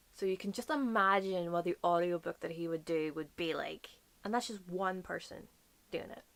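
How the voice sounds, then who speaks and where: With an American accent, a woman of medium pitch talks at a moderate pace with ordinary pitch variation. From Northern Ireland. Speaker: book YouTuber. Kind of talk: casual talk to camera.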